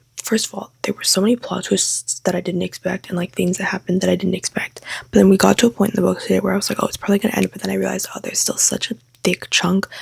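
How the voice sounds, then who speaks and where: A woman whispers quietly at a very fast pace. The sound is dry and close with no echo, and background noise is noticeable. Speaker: book vlogger. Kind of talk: vlog monologue. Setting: home, late at night. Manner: whispering, quiet.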